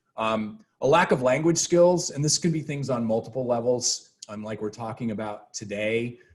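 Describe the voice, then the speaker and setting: A somewhat breathy man talks at a medium pitch. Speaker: professor. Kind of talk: lecture. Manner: fast.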